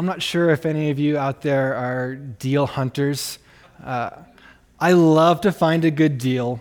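A man with a plain, everyday voice speaks at a fairly slow pace in a fairly high pitch with fairly even intonation. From Canada. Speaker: pastor. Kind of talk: sermon.

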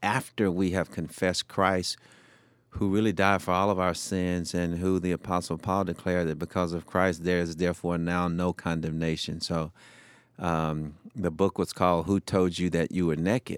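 A man with a Southern US accent speaks at a moderate pace in a very deep, low voice with flat, monotone intonation. The sound is dry and close with no echo, and the recording is very clean over a silent background. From US South, Shreveport, Louisiana. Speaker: former fire chief and speaker. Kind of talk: interview testimony.

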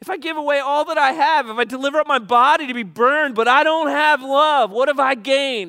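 A man's raised, projected voice, extremely high in pitch, bright and sharp, at a fairly quick pace with ordinary pitch variation and hardly any pauses. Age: old. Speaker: pastor. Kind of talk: sermon.

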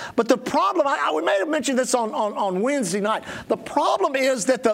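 Against noticeable background noise, a man talks at an extremely high pitch with lively intonation. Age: 60s. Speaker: pastor. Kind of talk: sermon. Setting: church with congregation. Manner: animated.

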